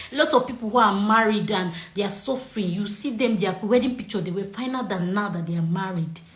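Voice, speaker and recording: Speaking in a Nigerian accent, a woman talks very fast at a medium pitch with hardly any pauses. Room echo is audible, and background noise is noticeable. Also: ordinary pitch variation. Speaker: relationship coach. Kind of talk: casual chat. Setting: video call. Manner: animated.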